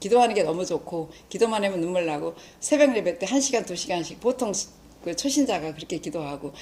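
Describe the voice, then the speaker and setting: Using an ordinary speaking voice with a medium pitch, a woman talks at a fairly quick pace with lively intonation. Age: 60s. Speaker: lay church evangelist, lecturer. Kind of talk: lecture.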